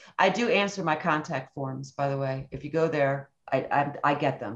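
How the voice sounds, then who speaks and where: Against a quiet background, a woman speaks at a fairly quick pace with hardly any pauses, her pitch very deep and low with ordinary variation. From near the Canadian border. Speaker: recording engineer; guest. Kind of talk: casual chat; interview answer. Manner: animated. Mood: animated, enthusiastic storytelling. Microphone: video call.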